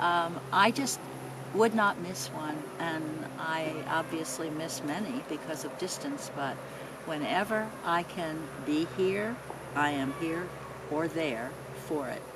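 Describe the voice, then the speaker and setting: A woman with a fairly low voice speaks very slowly, leaving long, frequent pauses, her intonation lively. Noticeable background noise and audible room echo surround her. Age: 80s+. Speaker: mother of the interviewer. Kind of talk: casual family interview. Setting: outdoors in backyard.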